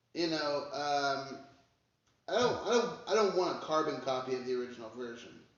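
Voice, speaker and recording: Audible room echo surrounds a man with a fairly high pitch and lively intonation, speaking at a moderate pace. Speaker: music reaction youtuber. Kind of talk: casual commentary. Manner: halting, many fillers.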